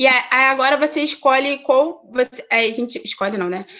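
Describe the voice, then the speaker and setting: A woman with a high pitch speaks with lively intonation. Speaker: accountant. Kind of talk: presentation. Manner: fast; hesitant, many fillers.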